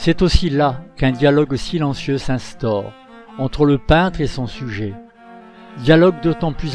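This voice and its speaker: With music in the background, a man speaks at a fairly slow pace, his fairly high voice carrying lively intonation. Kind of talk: documentary narration.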